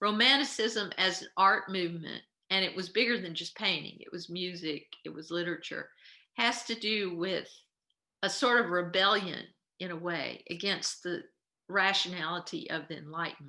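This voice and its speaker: A woman at a moderate pace and medium pitch, bright and sharp in tone, with big swings in loudness. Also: ordinary pitch variation. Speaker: art history instructor. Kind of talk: lecture.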